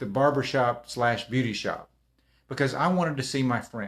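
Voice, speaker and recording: In a very clean recording with a silent background, a man with a Texan accent talks at a medium pitch with ordinary pitch variation. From Texas. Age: 60s. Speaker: motivational speaker. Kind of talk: casual livestream talk. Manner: halting.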